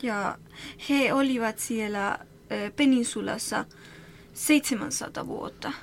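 A woman with a Spanish accent speaks in a fairly high pitch at a very slow pace, using long, frequent pauses and fairly even intonation. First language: Spanish (speaking Finnish). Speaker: association employee. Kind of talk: interview. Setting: studio. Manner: halting.

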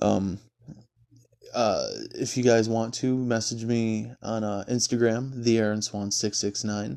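Speaking with an American accent, a man has a medium-pitched voice with a dark, mellow tone. He talks at a fairly slow pace with fairly even intonation. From Michigan. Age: 20s. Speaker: podcast host. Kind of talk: casual monologue. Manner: hesitant, many fillers.

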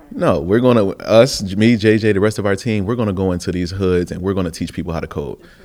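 A man's fairly low voice at a very fast pace, hardly pausing, with ordinary pitch variation over noticeable background noise. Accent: American. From Buffalo, New York. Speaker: formerly incarcerated app founder. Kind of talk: interview.

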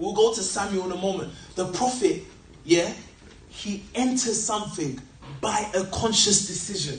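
Noticeable background noise sits behind a man's high-pitched voice. He leaves long, frequent pauses. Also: ordinary pitch variation. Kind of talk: sermon to a live congregation. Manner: direct and conversational, unhurried, keeps asking the crowd to answer; plain and teacherly, not theatrical, stresses character over show.

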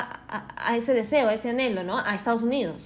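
Audible room echo carries speech delivered at a fairly quick pace with ordinary pitch variation. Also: woman. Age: 30s. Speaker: podcast host. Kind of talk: casual monologue. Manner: animated.

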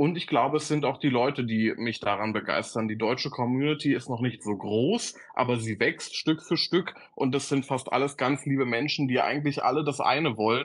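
Using an ordinary speaking voice, a man talks at a moderate pace and medium pitch with ordinary pitch variation and hardly any pauses. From Berlin area. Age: 20s. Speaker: social media creator. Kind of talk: casual chat.

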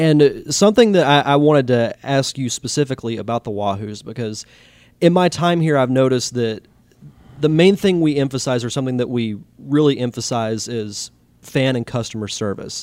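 Speaking at a fairly quick pace, a man with an American accent has a medium pitch, ordinary pitch variation, and a plain, everyday voice. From Pensacola, Florida. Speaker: podcast host. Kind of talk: podcast narration; podcast interview.

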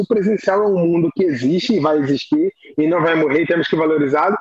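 High-pitched male voice over noticeable background noise. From Brazil, Rio de Janeiro. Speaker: teacher and choir conductor. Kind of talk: casual interview chat.

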